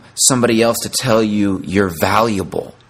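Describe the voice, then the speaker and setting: A man speaks with a fairly low pitch and fairly even intonation. His pace is moderate. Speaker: parenting podcast host. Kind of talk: motivational monologue. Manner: hesitant, many fillers.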